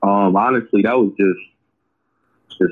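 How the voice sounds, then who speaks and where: Here a man speaks with an American accent. His pitch is fairly low. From Springfield, Massachusetts. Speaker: rapper. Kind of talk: casual interview. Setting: podcast interview.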